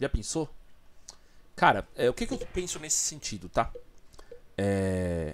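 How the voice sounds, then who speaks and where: At a fairly slow pace, a man with a medium pitch and very wide pitch swings leaves long, frequent pauses over light background noise. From Brazil. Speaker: video commentator. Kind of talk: angry rant, indignant commentary on a crime. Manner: indignant, emphatic, raised-voice ranting; repetitive, stammering, colloquial. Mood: serious, indignant. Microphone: studio mic.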